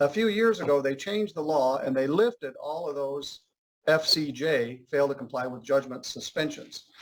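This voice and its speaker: Moderately paced and with lively intonation, a man speaks in a normal speaking voice. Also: fairly high pitch for a man. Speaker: judge. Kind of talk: courtroom proceedings.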